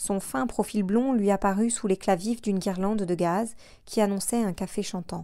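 This clip is plain reading aloud.

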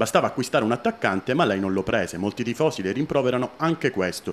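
A man with lively intonation and a very fast pace. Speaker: interviewer reading fans' questions. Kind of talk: interview. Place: office.

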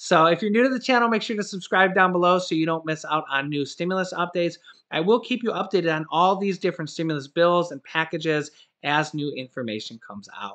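This man's high-pitched voice has a bright, sharp tone and lively intonation. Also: quiet background. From US Midwest (Ohio). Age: 30s. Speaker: YouTuber. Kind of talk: video monologue. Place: home room. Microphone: webcam.

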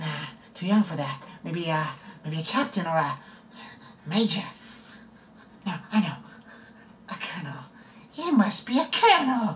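At a high pitch, a man talks at a moderate pace with very wide pitch swings and long, frequent pauses. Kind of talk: audition practice, dramatic screen acting. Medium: solo performance. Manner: menacing, taunting, mocking, unhinged.

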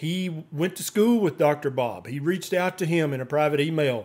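Moderately paced speech from a man, with ordinary pitch variation. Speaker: doctor vlogger. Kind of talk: commentary. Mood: critical, earnest. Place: home room.

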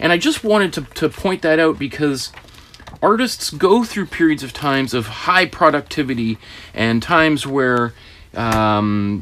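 A man with a Canadian accent talks at a fairly slow pace. His pitch swings very widely over light background noise. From Canada. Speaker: art teacher. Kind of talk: tutorial. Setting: studio. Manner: animated.

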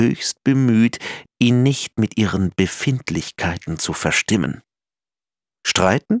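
The man talks at a very slow pace and a medium pitch. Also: dry, close sound with no echo. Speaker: audiobook narrator. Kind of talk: children's picture book reading.

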